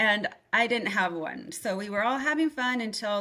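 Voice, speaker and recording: A woman with a Spanish accent speaks at a medium pitch, her tone bright and sharp and her intonation lively. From US small town, Mexican-American family. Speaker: yoga studio owner. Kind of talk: personal life story.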